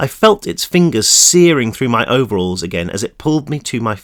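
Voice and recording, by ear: Someone reads aloud. The voice stays natural.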